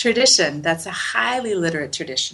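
A woman with an American accent talks at a fairly quick pace and fairly low pitch in a plain, everyday voice. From US, Utah (Salt Lake City). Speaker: acupuncturist and researcher. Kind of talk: interview.

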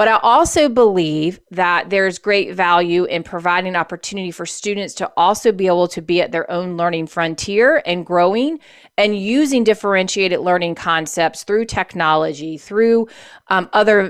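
This is a normal speaking voice with an American accent, at a moderate pace with ordinary pitch variation. The background is quiet. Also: woman, medium pitch for a woman. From North Carolina, US. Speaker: guest, tech educator and radio show host. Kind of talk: radio interview.

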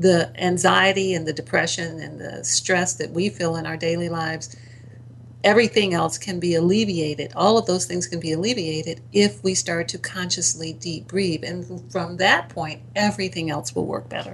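A woman's fairly low voice at a moderate pace over noticeable background noise. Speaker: radio host. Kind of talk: talk radio conversation.

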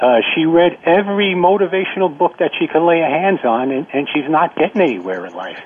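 Speaking fairly quickly, a man gives his words lively intonation. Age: 50s. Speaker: caller, former guest. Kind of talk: call-in comments. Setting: phone call. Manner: halting, repeats words.

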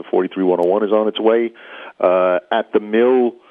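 A man talks with fairly even intonation. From Canada. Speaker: mining company executive. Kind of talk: radio interview. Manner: halting.

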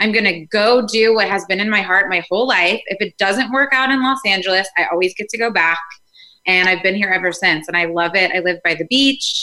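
A woman at medium pitch, bright and sharp in tone, at a fairly quick pace. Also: ordinary pitch variation. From US South, Nashville. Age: 30s. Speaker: life coach and community founder. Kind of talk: casual interview chat.

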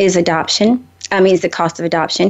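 A woman's fairly low voice with a Tennessee accent amid noticeable background noise. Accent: Southern US (Tennessee). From Nashville, Tennessee. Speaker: radio host. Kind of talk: casual chat. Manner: talkative.

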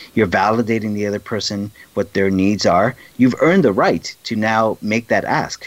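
At a moderate pace, a man with an unremarkable speaking voice talks at a fairly low pitch and with fairly even intonation. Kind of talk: casual interview chat.

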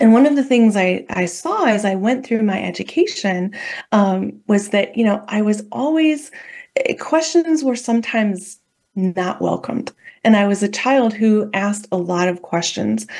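Using a plain, everyday voice, a woman speaks at a moderate pace. Her pitch is fairly high and her intonation lively. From US Midwest. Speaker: leadership coach and author. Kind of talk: casual chat.

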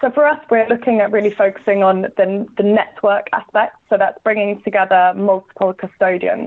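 A woman speaks at a moderate pace with fairly even intonation. She has a plain, everyday voice, medium in pitch. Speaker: banking digital executive. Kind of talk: radio interview.

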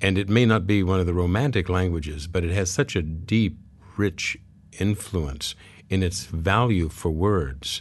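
The background is quiet. Delivery runs at a fairly slow pace with ordinary pitch variation. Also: man, very deep, low pitch for a man. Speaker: radio host, psychologist. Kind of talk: interview.

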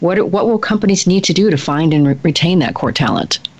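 A woman with a fairly low pitch and lively intonation talks at a moderate pace over noticeable background noise. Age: 50s. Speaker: radio host and leadership consultant. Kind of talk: radio interview. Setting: radio studio.

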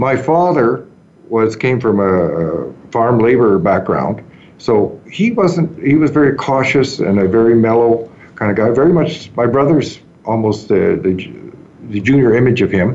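Speech comes in a Canadian accent at a fairly slow pace, with lively intonation and very even loudness. Noticeable background noise runs underneath. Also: man, medium pitch for a man. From Canada, southern Ontario. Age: 60s. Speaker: entrepreneur. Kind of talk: interview.

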